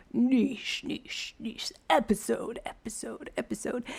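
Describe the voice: A put-on character voice speaks at a fairly high pitch and a fairly slow pace.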